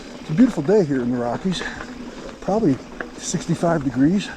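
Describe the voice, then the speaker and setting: With noticeable background noise behind him, a man talks at a fairly high pitch. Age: 60s. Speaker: mountain biker vlogger. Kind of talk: casual chat. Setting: outdoors. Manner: casual, relaxed.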